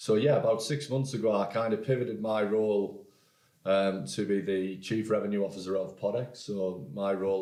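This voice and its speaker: Audible room echo surrounds a man speaking with a northeast English accent. His pace is fairly quick and his intonation fairly even. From northeast England, Hartlepool. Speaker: podcast company executive. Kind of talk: interview. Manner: hesitant, many repeated words.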